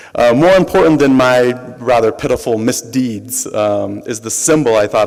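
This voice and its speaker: Against noticeable background noise, the pitch moves in an ordinary way. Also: man. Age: young. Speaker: academic introducing the speaker. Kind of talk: speech introduction. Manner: halting, many fillers.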